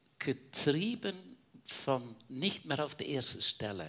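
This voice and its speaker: A man with vocal fry and very wide pitch swings at a very slow pace. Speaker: caregiver, church member. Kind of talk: personal testimony in panel talk.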